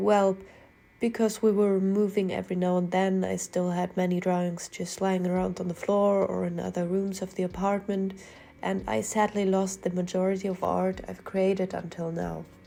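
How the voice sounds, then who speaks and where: Her tone is dark and mellow at a medium pitch. The woman's intonation stays flat and monotone. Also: moderate pace. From Germany. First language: German. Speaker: artist, art commentary youtuber. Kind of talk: casual commentary over speedpaint.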